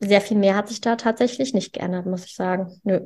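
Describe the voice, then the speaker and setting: A woman with a medium pitch talks on a very clean recording against a silent background. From Düsseldorf, western Germany. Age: 30s. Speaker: vegan nutrition consultant. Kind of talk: podcast interview.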